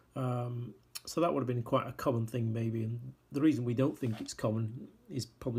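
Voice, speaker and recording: A man speaks at a fairly quick pace in a medium pitch, his intonation fairly even and his voice somewhat breathy. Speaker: miniatures sculptor. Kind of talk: casual product walkthrough. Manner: hesitant, many fillers.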